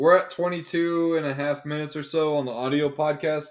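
In a very clean recording with a silent background, a man uses an ordinary speaking voice with fairly high pitch and fairly even intonation. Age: 30s. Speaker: podcast host. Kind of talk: casual chat.

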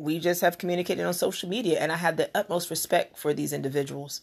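A woman with a plain, everyday voice, fairly low in pitch with ordinary pitch variation, speaks at a fairly quick pace. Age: 40s. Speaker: podcast host. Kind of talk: solo monologue. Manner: casual.

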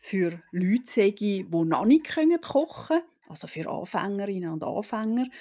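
A woman's medium-pitched voice with a dark, mellow tone, very wide pitch swings and a very slow pace, in a very clean recording with a silent background. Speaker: historian podcast host. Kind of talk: history podcast narration.

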